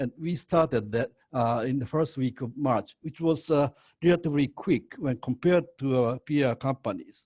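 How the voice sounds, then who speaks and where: A man's fairly high, somewhat breathy voice in a Japanese accent, dark and mellow in tone, with lively intonation at a moderate pace and a dry, close sound with no echo. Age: 70s. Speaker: senior executive. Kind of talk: webinar presentation. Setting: video call webinar. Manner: halting, many fillers and restarts.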